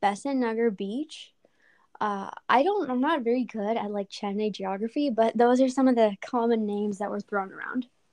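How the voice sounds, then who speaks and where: The recording has a dry, close sound with no echo and a quiet background. A woman speaks at a fairly high pitch with ordinary pitch variation. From Houston, Texas. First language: Tamil. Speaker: college student. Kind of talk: casual interview.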